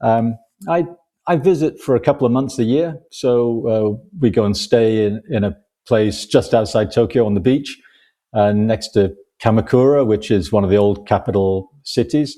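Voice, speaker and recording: With a northern English accent, a man speaks in a dark, mellow tone at medium pitch with lively intonation against a quiet background. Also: moderate pace. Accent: northern English short A's. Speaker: crime novelist, retired economist. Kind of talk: podcast interview. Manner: relaxed, with frequent fillers.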